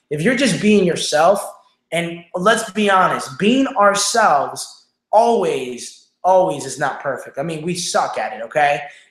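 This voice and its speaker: A man with a high pitch speaks in an animated tone with lively intonation. Audible room echo surrounds his voice. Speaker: online show host, business coach. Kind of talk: livestream motivational talk. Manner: fast.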